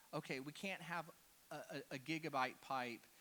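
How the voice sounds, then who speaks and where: Here a man talks with a Texan accent and a bright, sharp tone. His pace is fairly slow. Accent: Texan American. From Texas (Houston). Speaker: cybersecurity speaker. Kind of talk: conference talk. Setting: stage with audience. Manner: casual, animated.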